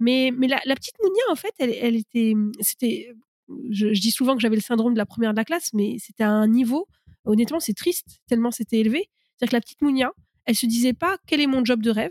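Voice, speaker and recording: A woman's high voice at a very fast pace, with ordinary pitch variation and a dry, close sound free of echo. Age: 30s. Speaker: startup coach, former venture capitalist. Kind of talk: interview.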